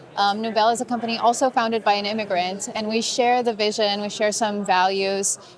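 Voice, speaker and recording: A woman talks at a fairly high pitch with fairly even intonation over noticeable background noise. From Brazil. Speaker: community organizer. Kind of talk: casual interview. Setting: event lounge at a conference.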